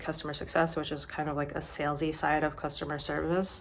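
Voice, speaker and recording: A woman speaks in a very deep, low pitch. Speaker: book vlogger. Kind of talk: casual vlog. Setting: outdoors. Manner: casual, filler-heavy.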